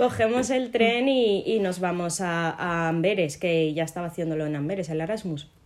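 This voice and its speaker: A woman speaks at a moderate pace with lively intonation and hardly any pauses. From Morocco. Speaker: podcast co-host. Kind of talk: casual chat.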